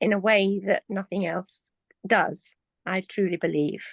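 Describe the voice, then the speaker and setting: With an English accent, a woman speaks at a fairly slow pace and medium pitch, her voice dry and close with no echo against a quiet background. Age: 70s. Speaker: community member. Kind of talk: testimony. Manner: halting.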